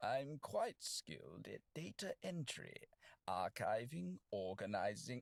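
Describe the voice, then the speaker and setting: A man's put-on character voice at a medium pitch and fairly slow pace. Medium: video game. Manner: polite, formal, wry.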